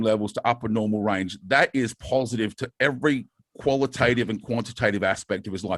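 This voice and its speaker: Recorded with a dry, close sound and no echo, a man at a medium pitch talks at a fairly quick pace with ordinary pitch variation. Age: 50s. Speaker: bodybuilding and steroid-use educator. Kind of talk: podcast interview. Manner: fast.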